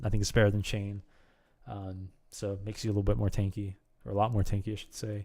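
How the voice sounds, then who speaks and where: Against a quiet background, a man speaks with a fairly low pitch and a dark, mellow tone. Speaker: gaming video creator. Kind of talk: tutorial. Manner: fast; hesitant, many fillers. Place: home room. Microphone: studio mic.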